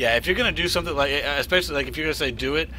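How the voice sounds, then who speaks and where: The voice belongs to a man. Music plays faintly behind him. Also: dry sound with no echo. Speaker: game streamer. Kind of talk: casual stream chat reading viewer messages. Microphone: headset.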